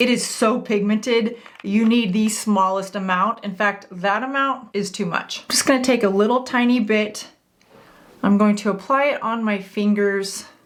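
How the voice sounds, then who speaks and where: A woman's ordinary speaking voice, fairly high-pitched, at a moderate pace with fairly even intonation. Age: 50s. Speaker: beauty content creator. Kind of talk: tutorial. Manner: casual, friendly.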